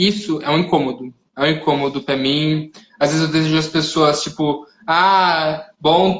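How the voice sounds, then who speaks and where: This man's fairly high voice moves at a very slow pace. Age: young. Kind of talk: interview on live stream. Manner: soft-spoken; halting.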